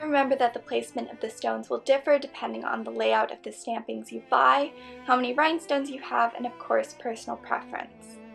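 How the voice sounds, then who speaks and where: Over music in the background, a woman talks at a fairly quick pace with big swings in loudness. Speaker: costume maker, craft tutorial creator. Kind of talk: tutorial voice-over.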